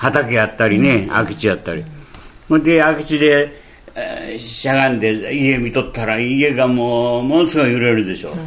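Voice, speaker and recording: Noticeable background noise and audible room echo surround a man whose pitch varies in an ordinary way. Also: medium pitch for a man, moderate pace. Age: 80s+. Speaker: earthquake survivor. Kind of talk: testimony. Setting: interview at guest's town.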